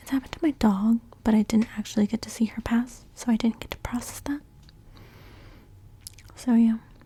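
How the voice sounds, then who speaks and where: The voice is soft-spoken and moves at a fairly quick pace. It breaks up with long, frequent pauses. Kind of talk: ASMR soft-spoken talk to camera.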